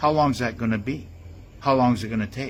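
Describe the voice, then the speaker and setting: A man's somewhat breathy voice, ordinary in its pitch variation. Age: 70s. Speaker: conspiracy commentator. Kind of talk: monologue. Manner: halting, many fillers.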